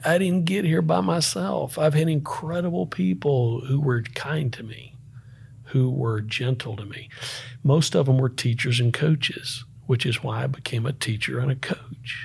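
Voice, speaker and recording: Recorded very cleanly against a silent background, a man with a Southern US accent speaks at a moderate pace and medium pitch, somewhat breathy, with lively intonation. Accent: Southern US (Georgia). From US South, Northeast Georgia (Appalachia). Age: 50s. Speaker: entrepreneur and former Marine. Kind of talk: casual interview conversation.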